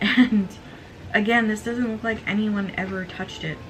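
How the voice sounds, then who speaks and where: A woman speaks at a moderate pace amid noticeable background noise. The room echo is audible. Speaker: book youtuber. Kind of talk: casual book haul video with blurbs read aloud. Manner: excited, occasional stammering; reading aloud from book blurbs.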